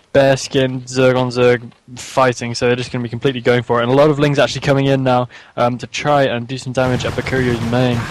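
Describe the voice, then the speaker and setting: A man's medium-pitched voice at a very fast pace, monotone and flat in intonation, with music in the background. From England. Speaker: esports caster. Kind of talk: live commentary.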